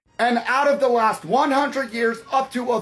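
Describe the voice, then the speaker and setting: A man speaks at an extremely high pitch and a moderate pace. Music plays in the background. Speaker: political commentator. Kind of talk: opinion monologue.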